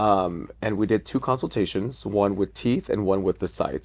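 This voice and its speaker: Vocal fry from a man with a fairly low pitch, talking at a fairly quick pace against a quiet background. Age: 30s. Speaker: drag queen. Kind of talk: casual chat.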